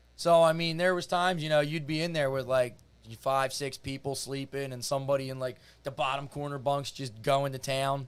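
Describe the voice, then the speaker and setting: Speaking at a fairly quick pace with a Philadelphia accent, the man has a fairly high pitch and fairly even intonation. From Philadelphia area, US. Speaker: reality TV contestant. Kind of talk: casual chat. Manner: casual, filler-heavy.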